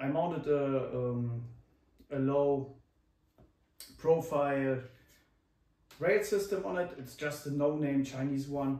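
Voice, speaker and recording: In a German accent, a man with a fairly high pitch and ordinary pitch variation speaks at a very slow pace with long, frequent pauses, with audible room echo. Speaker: airsoft youtuber. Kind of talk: product review. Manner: halting.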